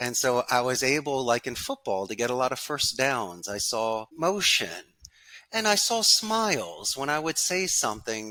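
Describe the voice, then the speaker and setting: A man with a Philadelphia accent, medium pitch and very wide pitch swings, bright and sharp in tone, at a moderate pace. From Philadelphia, US. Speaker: call center business owner. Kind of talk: podcast interview.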